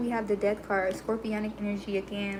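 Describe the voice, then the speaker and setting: A woman speaks at a very fast pace in a fairly high pitch, with noticeable background noise behind her. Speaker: tarot reader. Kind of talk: tarot reading livestream. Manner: smooth, serene.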